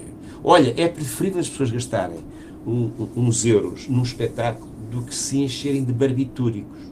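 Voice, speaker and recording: A man with a medium-pitched voice talks at a moderate pace, with big swings in loudness, ordinary pitch variation, long and frequent pauses, and noticeable background noise. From Portugal. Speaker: musician and podcast co-host. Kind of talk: casual chat.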